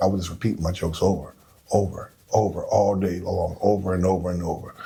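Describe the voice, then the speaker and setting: Mumbling at a fairly quick pace, a man speaks with a dark, mellow tone that is somewhat breathy. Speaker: comedian. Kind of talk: casual chat. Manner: low, mumbling.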